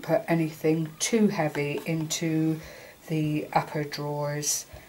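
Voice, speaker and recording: A woman's very deep, low voice, somewhat breathy, with a dark, mellow tone. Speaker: craft tutorial maker. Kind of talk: tutorial. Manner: halting, fumbling.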